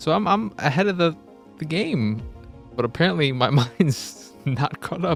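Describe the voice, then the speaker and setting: With music in the background, a man talks at a fairly high pitch, his voice making very wide pitch swings. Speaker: podcast host. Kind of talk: casual, conversational. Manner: upbeat, energetic delivery.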